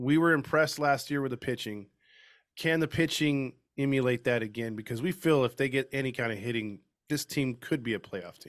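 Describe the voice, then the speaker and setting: On a very clean recording with a silent background, a man with an unremarkable speaking voice speaks at a fairly quick pace, his medium pitch showing ordinary variation. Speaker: podcast host. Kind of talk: casual chat.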